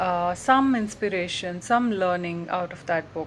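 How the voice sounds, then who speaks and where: With a Telugu accent, the speaker goes at a fairly slow pace with ordinary pitch variation. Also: woman. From India, Bangalore. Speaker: writer and translator. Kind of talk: personal talk to camera. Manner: halting, many fillers.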